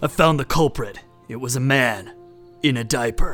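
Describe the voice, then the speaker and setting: A man puts on a character voice at a medium pitch and a moderate pace. Faint music plays in the background. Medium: audio drama. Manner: terse, literal, deadpan.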